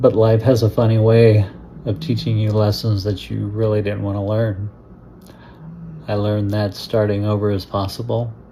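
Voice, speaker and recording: Somewhat breathy and monotone, a man speaks with flat intonation, a fairly low pitch and a dark, mellow tone. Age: 60s. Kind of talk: personal story told to camera. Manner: reflective, slow.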